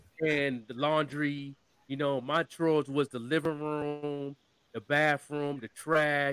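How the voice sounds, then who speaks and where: A New York accent with a dry, close sound and no echo. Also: man. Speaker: marketer. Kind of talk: casual chat.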